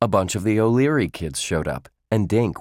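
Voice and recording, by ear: Someone reads aloud in a natural voice, with ordinary pitch variation. The background is quiet.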